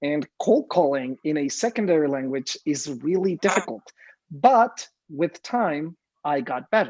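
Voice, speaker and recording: Against a quiet background, with dry, close sound and no echo, a man with a Spanish accent speaks at a fairly slow pace in a fairly high voice with lively intonation. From Mexico. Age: young. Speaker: real estate agent. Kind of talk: casual interview. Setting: live video stream.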